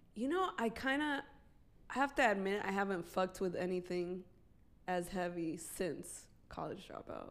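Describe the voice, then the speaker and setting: A woman speaks at a moderate pace with a medium pitch and lively intonation. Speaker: podcast host, reggaeton artist. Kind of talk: casual chat podcast. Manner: casual, profane.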